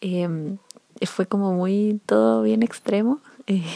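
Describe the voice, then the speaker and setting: Heard in a dry, close sound with no echo, the voice carries a dark, mellow tone. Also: woman. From Chile. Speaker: podcaster reviewing Korean dramas. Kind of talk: casual solo monologue. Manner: hesitant with many fillers.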